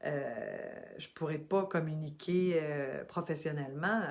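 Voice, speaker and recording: A woman's very deep, low voice at a very slow pace with ordinary pitch variation. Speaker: spiritual coach, former radio host. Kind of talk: motivational talk to camera. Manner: halting, many repetitions and fillers.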